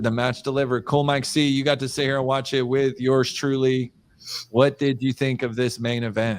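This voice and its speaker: An American accent on a very clean recording with a silent background. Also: man. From Florida. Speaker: wrestling podcast host. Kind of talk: casual chat. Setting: home studio, live stream. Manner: fast.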